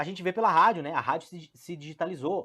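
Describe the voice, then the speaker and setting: A very clean recording of a man's fairly high, bright and sharp voice at a fairly quick pace over a silent background. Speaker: radio host, business consultant. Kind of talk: radio finance talk show. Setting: radio studio. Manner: fast; casual, filler-heavy.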